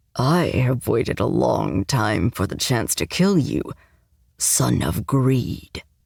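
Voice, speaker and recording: Low in pitch, a put-on character voice moves along at a fairly slow pace. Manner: hateful, threatening.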